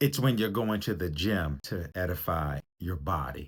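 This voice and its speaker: The recording is very clean with a silent background. A man with an American accent speaks in a very deep, low, somewhat breathy voice with lively intonation. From US, Baltimore, Maryland. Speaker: relationship coach. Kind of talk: motivational talk.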